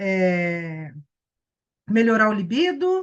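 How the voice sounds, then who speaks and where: A woman speaks against a quiet background. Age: 60s. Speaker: wellness teacher. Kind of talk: online class lecture. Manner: animated.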